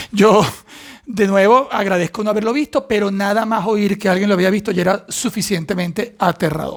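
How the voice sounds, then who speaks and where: Noticeable background noise accompanies a man with a high pitch. He moves at a moderate pace with ordinary pitch variation. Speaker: actor. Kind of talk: casual talk to camera.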